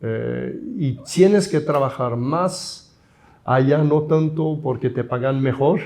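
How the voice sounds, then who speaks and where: Speaking at a very slow pace with a Swiss accent, a man has a dark, mellow tone, a fairly high pitch and ordinary pitch variation. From Switzerland. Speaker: architect and professor. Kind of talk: interview.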